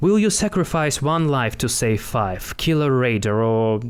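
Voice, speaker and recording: Lively intonation marks this man's speech at a fairly slow pace. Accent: non-native. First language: not English. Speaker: actor, writer. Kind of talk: plot narration.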